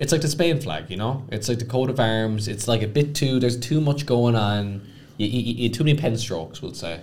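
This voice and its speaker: With an Irish accent, this voice moves at a fairly quick pace with ordinary pitch variation amid audible room echo. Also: man, medium pitch for a man. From Ireland. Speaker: podcast co-host. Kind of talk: casual chat. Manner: hesitant, many fillers.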